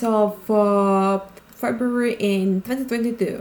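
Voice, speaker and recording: A woman with a Ukrainian accent at a very slow pace. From Ukraine. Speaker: video essayist. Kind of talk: video explainer narration. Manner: halting with many fillers.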